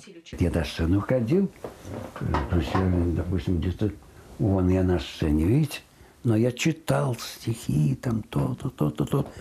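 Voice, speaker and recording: A man's very deep, low voice with very wide pitch swings, very even loudness and a very slow pace, broken by long, frequent pauses over light background noise. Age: 80s+. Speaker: radio announcer. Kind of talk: interview answer. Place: home room. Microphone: lapel.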